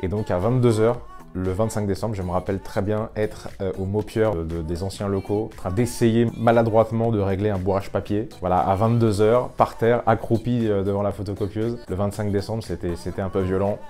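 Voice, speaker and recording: Speaking at a moderate pace with hardly any pauses, a man uses a fairly low pitch and fairly even intonation. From France, Paris. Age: 30s. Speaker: lawyer. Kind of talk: interview. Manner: hesitant, with filler sounds.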